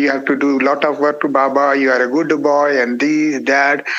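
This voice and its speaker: Speaking at a moderate pace, a man with a fairly high voice has an Indian accent. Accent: Indian (Marathi) English. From India, Marathi-speaking (Maharashtra). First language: Marathi. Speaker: monk. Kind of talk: interview testimony. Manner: halting.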